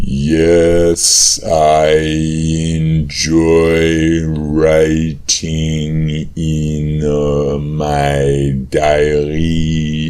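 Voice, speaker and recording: This man puts on a character voice with a very deep, low pitch. He speaks at a very slow pace. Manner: very slow, halting.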